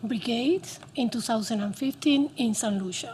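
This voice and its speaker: A woman speaks in a Cuban accent with a fairly high pitch. Her pitch variation is ordinary. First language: Spanish. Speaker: doctor. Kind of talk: testimony.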